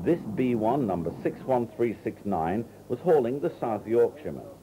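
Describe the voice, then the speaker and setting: Music plays in the background as a man speaks at a medium pitch with very wide pitch swings. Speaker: scripted narrator of railway film. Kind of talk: scripted documentary narration. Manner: measured, formal, matter-of-fact.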